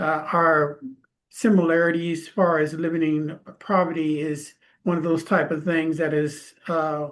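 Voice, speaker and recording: A man speaks at a fairly high pitch and a fairly slow pace. His intonation is monotone and flat, over a quiet background. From California, Stockton. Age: 60s. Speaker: author. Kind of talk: interview. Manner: halting.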